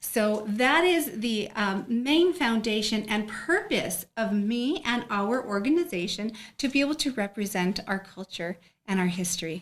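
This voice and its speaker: Her voice fairly high and somewhat breathy, a woman speaks fairly slowly with lively intonation. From northern New Mexico (Española area). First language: Spanish (northern New Mexico dialect). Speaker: pageant titleholder. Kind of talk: interview.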